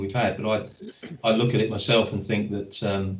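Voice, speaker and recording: There is audible room echo around this man's voice. He speaks at a fairly quick pace and sounds somewhat breathy. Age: 60s. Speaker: webinar moderator. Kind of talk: webinar panel discussion.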